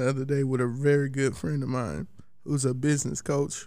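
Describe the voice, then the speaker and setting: Pitched fairly high, a man talks with an American accent. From Columbus, Georgia. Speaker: podcast host. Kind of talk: casual chat.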